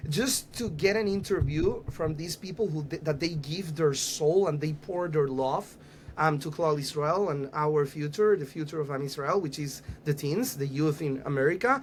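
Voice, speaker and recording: With a Panamanian accent, a man with a fairly high-pitched voice talks at a moderate pace with ordinary pitch variation. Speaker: youth organization rabbi. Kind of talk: podcast interview. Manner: halting, with fillers and repeats.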